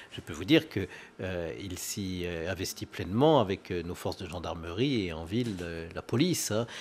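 A man's very deep, low voice with big swings in loudness, lively intonation, a moderate pace and light background noise. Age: 50s. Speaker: local politician, head of departmental council. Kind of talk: live interview. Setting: live broadcast on location. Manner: hesitant, many filler sounds. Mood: warm, nostalgic in memories. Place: studio. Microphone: studio mic.

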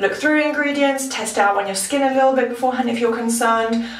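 A woman's voice with audible room echo. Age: 20s. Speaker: beauty vlogger. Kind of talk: product review. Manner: casual. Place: bathroom.

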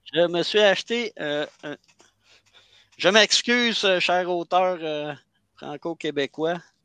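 Speaking very slowly with long, frequent pauses, a man with a Quebec accent uses a high pitch, a bright, sharp tone, ordinary pitch variation and big swings in loudness, dry and close with no echo over a quiet background. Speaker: self-published author. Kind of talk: casual live chat. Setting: video call. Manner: halting.

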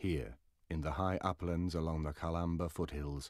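This man has a very deep, low pitch and a dramatic tone. He talks at a moderate pace. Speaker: documentary narrator. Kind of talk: scripted documentary narration. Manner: formal, measured, dramatic.

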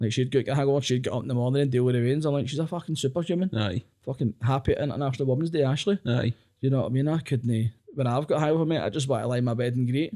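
With a Glaswegian accent and a dark, mellow tone, a man speaks at a very fast pace over a quiet background. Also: ordinary pitch variation. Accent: Glaswegian Scottish. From Scotland, Glasgow area. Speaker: comedian. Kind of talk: casual chat. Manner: animated. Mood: jokey, animated storytelling. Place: studio. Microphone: studio mic.

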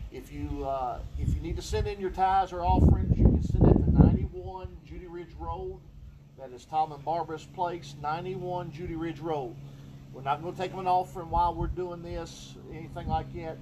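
A man talks at a moderate pace. Noticeable background noise runs beneath him. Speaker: pastor. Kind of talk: church announcements. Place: church. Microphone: camera far.

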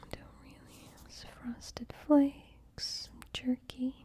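Someone whispers at a very slow pace. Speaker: vlogger planning grocery shopping. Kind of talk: casual vlog chat. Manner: soft-spoken, quiet reading voice. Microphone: phone near.

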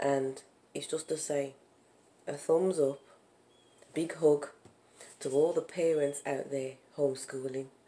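A woman with a Brummie accent speaks in a very deep, low voice with a dark, mellow tone. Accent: Brummie (Birmingham) English. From Birmingham, England. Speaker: vlogger, parent and small business owner; parent vlogger. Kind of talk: casual vlog chat. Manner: animated, laughing. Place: home room. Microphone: phone near.

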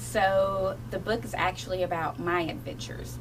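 A woman talks at a moderate pace amid noticeable background noise. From Kentucky, Appalachian Mountains. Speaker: children's book author. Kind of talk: radio interview. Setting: radio studio. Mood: warm, enthusiastic. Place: studio. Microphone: studio mic.

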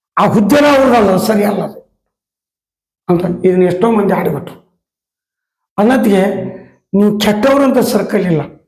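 Audible room echo surrounds a man whose voice sits high in pitch. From North Karnataka. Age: old. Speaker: theater artist. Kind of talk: interview. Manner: halting.

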